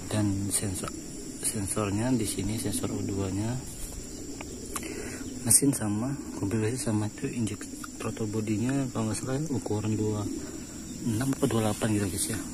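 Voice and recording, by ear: Clear background noise is present as a man speaks at a moderate pace. His voice is fairly low, with fairly even intonation.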